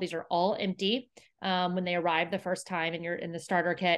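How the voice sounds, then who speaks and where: In an ordinary speaking voice, a woman talks at a fairly quick pace and medium pitch. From Houston, Texas. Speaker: company co-founder. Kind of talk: interview.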